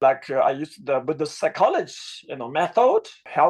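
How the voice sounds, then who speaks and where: The speaker has a Tibetan accent. The background is quiet. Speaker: Buddhist teacher. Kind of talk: panel talk. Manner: halting, with many fillers.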